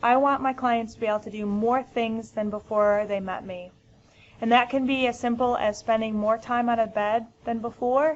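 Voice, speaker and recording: Speaking at a moderate pace with a fairly high pitch, a woman with an American accent keeps her intonation fairly even. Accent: American, noticeable. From US Midwest, Michigan. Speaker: physical therapist presenter. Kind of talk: educational webinar. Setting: webinar. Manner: frequent filler ums.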